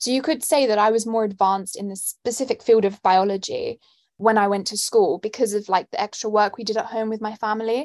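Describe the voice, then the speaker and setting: A woman speaks at a fairly quick pace and fairly high pitch, with fairly even intonation. The sound is dry and close with no echo, and the background is quiet. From London, England. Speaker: student and nonprofit founder. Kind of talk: interview answers.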